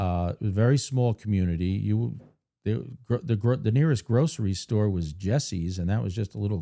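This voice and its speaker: A man with an American accent and a normal speaking voice talks at a fairly quick pace and fairly low pitch, recorded very cleanly against a silent background. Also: lively intonation. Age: 50s. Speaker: podcast host. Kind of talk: scripted introduction; casual interview chat.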